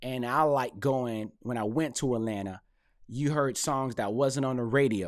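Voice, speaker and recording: A medium-pitched man with an American accent and ordinary pitch variation, on a very clean recording with a silent background. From North Carolina, US South. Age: middle-aged. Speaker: hip hop commentator and rapper. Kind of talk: casual commentary monologue. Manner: animated.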